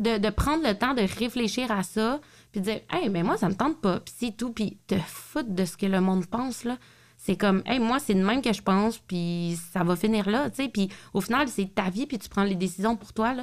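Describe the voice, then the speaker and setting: A woman with a Quebec accent, fairly high in pitch, at a moderate pace with ordinary pitch variation, on a very clean recording with a silent background. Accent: Québécois French. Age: 30s. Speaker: podcast host. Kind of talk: casual chat.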